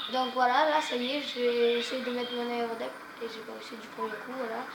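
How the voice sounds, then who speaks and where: Audible room echo surrounds the voice. It moves at a moderate pace with monotone, flat intonation. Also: woman, high pitch for a woman. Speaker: gaming youtuber. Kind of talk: gameplay commentary. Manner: casual, hesitant.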